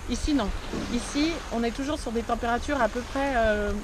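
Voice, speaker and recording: Moderately paced speech from a woman with a high voice and fairly even intonation, amid noticeable background noise and audible room echo. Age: 30s. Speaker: vlogger. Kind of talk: vlog monologue. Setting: outdoors.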